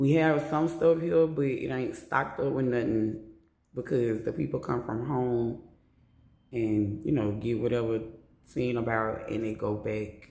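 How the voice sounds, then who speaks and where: A man with an American accent talks at a fairly slow pace, his voice medium in pitch and somewhat breathy. His pitch varies in an ordinary way, and audible room echo surrounds him. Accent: New Orleans accent, now reduced. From New Orleans, US South. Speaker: storyteller vlogger. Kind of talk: personal storytelling. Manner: casual, profane.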